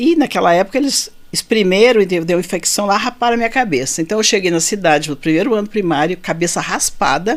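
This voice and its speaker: Her pitch swings very widely. This woman keeps a moderate pace. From Rio Grande do Sul, southern Brazil. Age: 60s. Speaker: physician. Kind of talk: interview.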